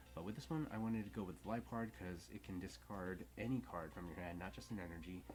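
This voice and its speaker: A man talks at a fairly quick pace with very wide pitch swings. Music plays in the background, and room echo is audible. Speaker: card game content creator. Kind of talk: tutorial. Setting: at home. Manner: whispering softly.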